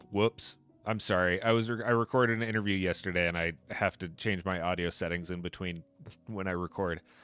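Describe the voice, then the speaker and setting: Over music in the background, a man with a very deep, low pitch talks at a fairly quick pace with fairly even intonation. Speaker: Minecraft streamer. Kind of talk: casual live stream chat.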